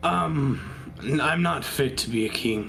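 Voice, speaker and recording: A man's raspy put-on character voice at medium pitch, fairly slow, with very wide pitch swings over clear background noise. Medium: actual play. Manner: hesitant, stammering.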